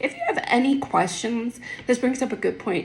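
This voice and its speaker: Noticeable noise sits behind a woman as she talks. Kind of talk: casual Bible explanation. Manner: halting, with fillers.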